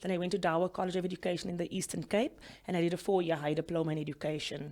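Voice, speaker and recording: At a very fast pace, a woman speaks with fairly low pitch and fairly even intonation. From South Africa. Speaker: lawyer. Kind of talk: interview. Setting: studio.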